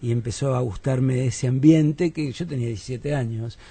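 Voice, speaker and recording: Dark and mellow in tone, a man's somewhat breathy voice sits at a medium pitch, moving at a moderate pace with ordinary pitch variation. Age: 50s. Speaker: philosopher and musician. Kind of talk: radio interview.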